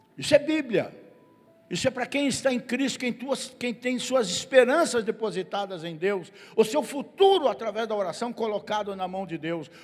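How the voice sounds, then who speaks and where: A man talks at a moderate pace with a high pitch and lively intonation. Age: 70s. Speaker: pastor. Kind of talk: sermon. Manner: animated.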